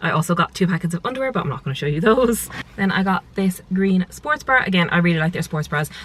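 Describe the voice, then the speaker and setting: A woman with an Irish accent, very fast and fairly low-pitched, with ordinary pitch variation and noticeable background noise. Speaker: lifestyle vlogger. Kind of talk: casual vlog. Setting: at home in bedroom. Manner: whispering.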